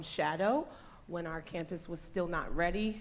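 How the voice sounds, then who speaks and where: A woman speaks with a fairly low pitch at a moderate pace. Room echo is audible. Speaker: school staff member. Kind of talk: event presentation. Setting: church, stage with audience. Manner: animated.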